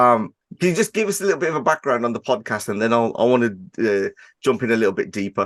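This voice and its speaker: Quiet background, a man at medium pitch with a Birmingham accent, lively intonation and a fairly quick pace, in a dry, close sound with no echo. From Birmingham, England. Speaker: podcast host. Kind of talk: interview. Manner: fast-talking.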